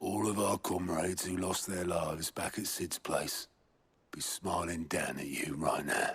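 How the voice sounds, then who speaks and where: A man's put-on character voice, very deep and low, with fairly even intonation at a moderate pace. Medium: video game. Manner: gruff, dry.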